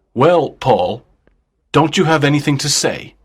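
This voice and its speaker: Putting on a robotic character voice at a fairly high pitch, a man speaks at a moderate pace on a very clean recording with a silent background. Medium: read story. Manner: cold, emotionless, robotic.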